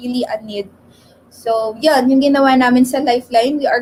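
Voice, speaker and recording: A woman with a high pitch talks at a moderate pace, keeping her intonation fairly even. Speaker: mental health advocate. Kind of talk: radio interview. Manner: slight stutter.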